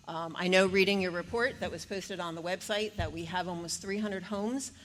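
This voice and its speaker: A woman talks at a fairly quick pace. Her voice sits at a medium pitch with fairly even intonation. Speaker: public commenter at town meeting. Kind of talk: public comment. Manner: halting, many fillers; fast.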